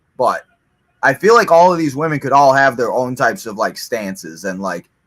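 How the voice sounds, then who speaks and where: Loud and at a fairly quick pace, the voice moves through very wide pitch swings. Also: man, medium pitch for a man. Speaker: wrestling watch-along co-commentator. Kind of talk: casual chat. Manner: filler-heavy, rambling pace with many 'like's.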